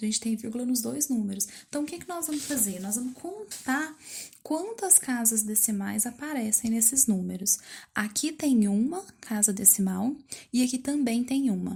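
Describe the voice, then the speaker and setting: Her pitch fairly high and her tone dark and mellow, a woman speaks at a moderate pace with lively intonation. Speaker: math teacher. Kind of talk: lesson for pupils.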